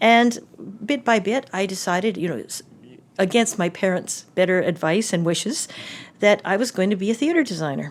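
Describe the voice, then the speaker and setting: With a Canadian accent, a woman in a normal speaking voice talks at a fairly quick pace, with medium pitch and lively intonation. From Canada, Calgary, Alberta. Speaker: set and costume designer, professor. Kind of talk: interview. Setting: office.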